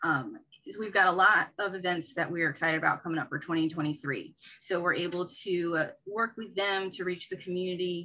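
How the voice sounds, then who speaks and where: A woman's fairly low, bright and sharp voice at a moderate pace, with ordinary pitch variation and hardly any pauses. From Maryland, Prince George's County. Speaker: real estate agent. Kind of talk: interview.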